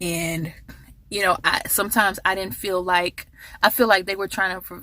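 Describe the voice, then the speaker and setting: Bright and sharp in tone, a woman speaks at a moderate pace with fairly even intonation. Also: medium pitch for a woman. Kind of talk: motivational talk to camera. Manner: casual, heartfelt.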